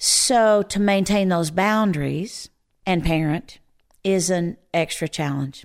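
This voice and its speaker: On a very clean recording with a silent background, a woman with an unremarkable speaking voice talks at a fairly low pitch with ordinary pitch variation. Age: 60s. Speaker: Enneagram teacher and author. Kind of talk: podcast interview.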